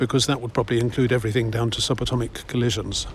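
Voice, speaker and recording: A man's medium-pitched voice with an English accent, fairly even intonation and vocal fry. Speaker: walking vlogger. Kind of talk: casual walking commentary. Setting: outdoors.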